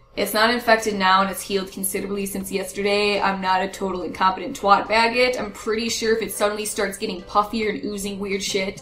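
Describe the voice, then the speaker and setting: A woman speaks at a very fast pace with hardly any pauses, her medium-pitched voice flat and monotone, over noticeable background noise and audible room echo. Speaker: gaming YouTuber. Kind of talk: casual vlog chat.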